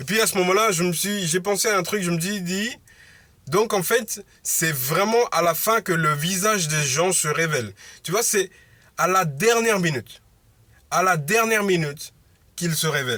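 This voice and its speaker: A loud, high-pitched male voice with a bright, sharp tone and long, frequent pauses on a very clean recording with a silent background. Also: ordinary pitch variation, moderate pace. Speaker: motivational vlogger. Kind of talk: casual monologue vlog. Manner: halting, many fillers.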